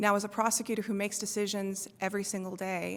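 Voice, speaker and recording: Soft-spoken, a woman talks at a medium pitch with monotone, flat intonation. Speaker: judicial candidate, prosecutor. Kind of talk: candidate forum answer.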